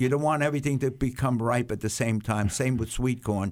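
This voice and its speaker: A man with an American accent talks at a fairly quick pace in a medium pitch. He has a normal speaking voice and fairly even intonation. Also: very clean recording, silent background. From Staten Island, New York. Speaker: horse farmer. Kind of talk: casual interview.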